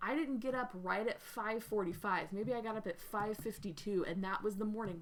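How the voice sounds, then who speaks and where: This is a woman speaking. Her pitch is medium. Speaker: writing teacher, livestream host. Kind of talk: casual livestream talk. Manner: fast in places.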